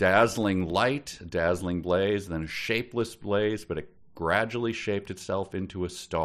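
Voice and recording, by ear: Someone is reading aloud in a natural voice, the pitch shifting in an ordinary way.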